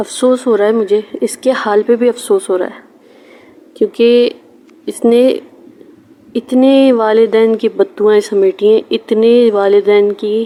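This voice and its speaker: Fairly high in pitch and fairly even in intonation, a woman speaks over noticeable background noise. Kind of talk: casual talk to camera, personal message. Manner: stammering.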